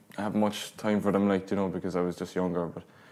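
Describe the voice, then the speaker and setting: Speaking at a fairly low pitch, a man delivers his lines in a monotone, flat intonation. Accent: Cork. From Ireland, County Cork. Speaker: singer-songwriter. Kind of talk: casual interview. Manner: halting.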